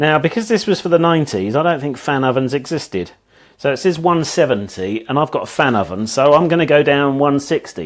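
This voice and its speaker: A man's fairly high voice with lively intonation and an English accent. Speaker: home cook. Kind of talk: cooking livestream. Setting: home kitchen. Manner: loud; halting.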